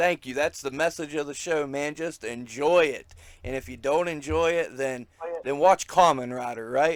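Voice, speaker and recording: A man with an American accent speaks at a moderate pace. His pitch is fairly high and his intonation fairly even. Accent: redneck. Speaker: wrestling podcast host. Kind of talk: casual interview chat.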